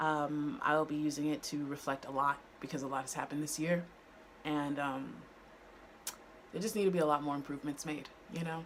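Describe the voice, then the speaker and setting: A woman's very deep, low voice at a fairly quick pace, with fairly even intonation, long, frequent pauses and music in the background. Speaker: lifestyle vlogger. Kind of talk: casual vlog monologue. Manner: halting, many fillers.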